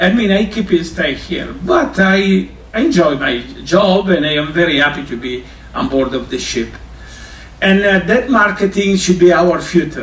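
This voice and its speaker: Amid noticeable background noise and audible room echo, a high-pitched man speaks at a moderate pace with lively intonation. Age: 60s. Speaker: cruise line culinary ambassador. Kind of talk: informal talk to students. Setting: on board a cruise ship. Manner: halting.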